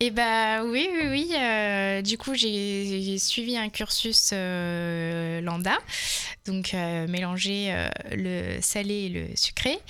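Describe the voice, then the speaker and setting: Speaking very slowly, a woman at a medium pitch uses a bright, sharp tone with ordinary pitch variation. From Touraine, France. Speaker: head chef of a community restaurant. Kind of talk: radio interview.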